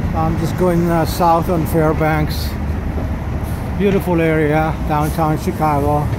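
Fairly slow delivery over loud background noise. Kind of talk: casual tour commentary. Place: street. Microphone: phone near.

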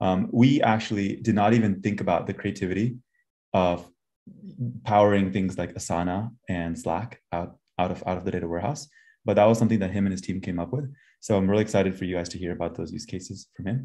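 A man with a fairly low pitch speaks in an ordinary speaking voice. His intonation is fairly even, and the background is quiet. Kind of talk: conference talk introduction. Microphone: video call.

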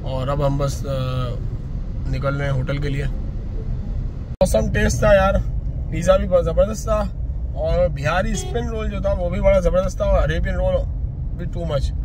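A man with a fairly high pitch and ordinary pitch variation speaks at a moderate pace, with audible room echo and clear background noise.

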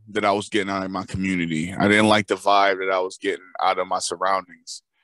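A man's bright, sharp tone, dry and close with no echo, against a quiet background. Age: 20s. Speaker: podcast co-host. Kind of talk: casual chat.

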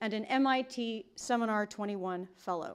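A woman over a quiet background. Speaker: event host introducing speaker. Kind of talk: formal introduction speech. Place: hall.

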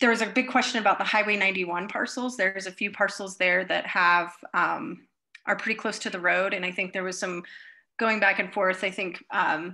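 Fairly even intonation from a woman at a moderate tempo. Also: quiet background. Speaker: presenter. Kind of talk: meeting presentation. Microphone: video call.

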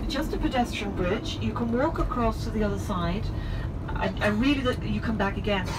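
With music in the background, a woman speaks at a moderate pace. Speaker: tour guide. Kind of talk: tour commentary. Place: bus.

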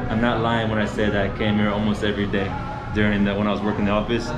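Clear music plays in the background while the man talks. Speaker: travel vlogger. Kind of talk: casual vlog chat. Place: cafe. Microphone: phone near.

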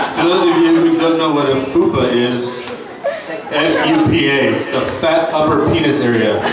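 A man talks at a fairly slow pace amid loud background noise, with audible echo from the room. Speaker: roast comedian. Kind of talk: roast comedy set, crude insult jokes delivered to a live crowd. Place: bar.

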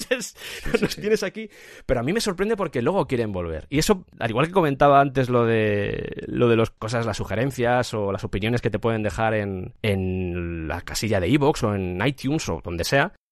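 Over a quiet background, a man speaks at a moderate pace and medium pitch, his pitch swinging very widely. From Spain, raised in Madrid, family from Cuenca. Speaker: podcast creator. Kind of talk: interview.

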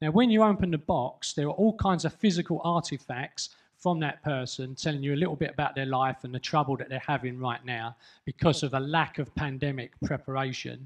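Speaking at a fairly quick pace, the man leaves few pauses. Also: medium pitch for a man, ordinary pitch variation.

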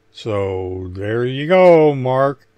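Speaking at a very slow pace, a man with a medium pitch and a dark, mellow tone uses lively intonation.

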